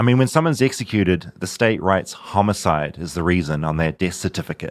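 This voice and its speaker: With a New Zealand accent, a man speaks at a fairly quick pace and fairly low pitch. His intonation is lively, and the recording is very clean with a silent background. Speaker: podcast host, journalist. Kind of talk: narrated documentary.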